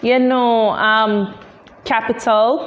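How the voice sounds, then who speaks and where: A woman speaks at a very slow pace in a Jamaican accent. The recording has audible room echo and noticeable background noise. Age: 20s. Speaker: tech entrepreneur. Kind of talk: interview. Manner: halting, many fillers.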